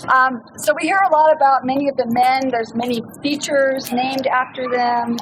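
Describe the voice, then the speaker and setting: Noticeable background noise sits behind a woman speaking at a moderate pace. Her voice is high, with fairly even intonation. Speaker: author and trail speaker. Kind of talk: campfire talk. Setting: outdoors, campfire with audience.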